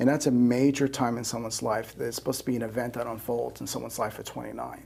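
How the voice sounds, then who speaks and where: Over noticeable background noise, a man with an American accent speaks very fast at a medium pitch, his intonation flat and monotone. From New York. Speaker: astrologer. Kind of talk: interview. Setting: studio.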